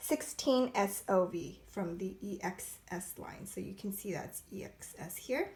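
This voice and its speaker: A woman speaks over noticeable background noise. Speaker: makeup brush reviewer. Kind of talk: casual product review to camera. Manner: casual, hesitant, many fillers.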